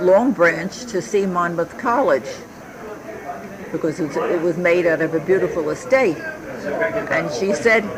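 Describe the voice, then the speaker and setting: Over noticeable background noise, a woman with a fairly low pitch speaks at a fairly slow pace with lively intonation. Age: 70s. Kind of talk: family history interview answer. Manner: reminiscing, hesitant.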